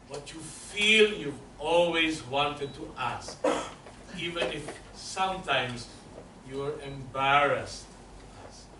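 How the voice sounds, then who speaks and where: A man with fairly high pitch and ordinary pitch variation at a very slow pace, with audible room echo and noticeable background noise. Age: 60s. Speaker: voice teacher. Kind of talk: lecture.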